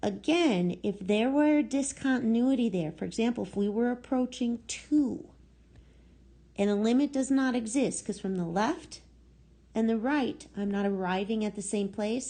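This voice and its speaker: Somewhat breathy and dark, mellow in tone, a woman speaks at a fairly high pitch with lively intonation. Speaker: math teacher. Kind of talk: lecture. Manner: slow.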